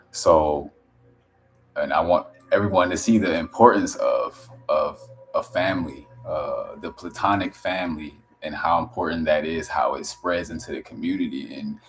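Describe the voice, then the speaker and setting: Music plays in the background as a man speaks quietly at a moderate pace, with big swings in loudness. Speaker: wellness content creator. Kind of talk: casual live stream chat. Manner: halting, many restarts; quiet, low voice.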